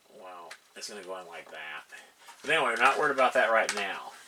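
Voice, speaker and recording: Noticeable background noise accompanies a man who talks fairly quickly. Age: 60s. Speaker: hobbyist video maker. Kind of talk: tutorial. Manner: casual, halting with fillers.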